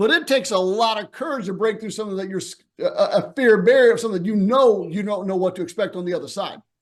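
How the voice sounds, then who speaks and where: A man talks at a very fast pace in a high pitch, with hardly any pauses. His pitch variation is ordinary, while his loudness swings widely. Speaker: business coach. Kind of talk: webinar presentation. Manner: animated.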